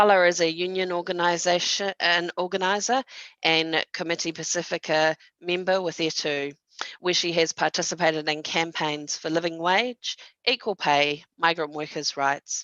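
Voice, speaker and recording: A woman with a New Zealand accent speaks at a moderate pace, her tone bright and sharp. Her intonation stays fairly even against a quiet background. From New Zealand (Palmerston North). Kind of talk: panel moderation at online conference. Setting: video call. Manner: hesitant, many fillers.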